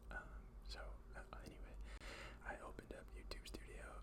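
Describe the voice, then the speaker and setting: Someone whispers over noticeable background noise. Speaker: ASMR creator. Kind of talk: ASMR whisper ramble. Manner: whispered.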